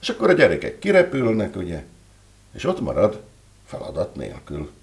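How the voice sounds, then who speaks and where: A man is speaking. His pace is moderate. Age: 60s. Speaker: writer and entrepreneur. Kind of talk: interview. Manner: halting.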